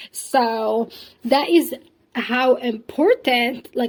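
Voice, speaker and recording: The speaker is a woman whose voice sits at a high pitch. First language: not English (English is third language). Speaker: podcast host. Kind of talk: casual monologue. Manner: hesitant, many fillers.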